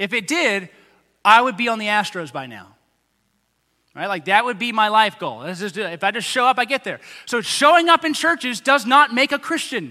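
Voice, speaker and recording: Projecting a raised voice with big swings in loudness, a man with an American accent speaks at a moderate pace, high-pitched and with lively intonation. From Texas, Tomball area. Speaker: pastor. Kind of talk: sermon. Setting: church.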